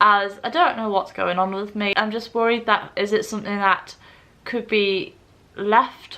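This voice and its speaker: In an English accent, a woman talks at a moderate pace with a medium pitch and a bright, sharp tone. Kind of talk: personal vlog monologue. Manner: slurred speech.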